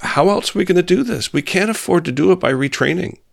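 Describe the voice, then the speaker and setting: A man with a Canadian accent and very wide pitch swings, on a very clean recording with a silent background. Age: 60s. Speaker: senator. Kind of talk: interview conversation.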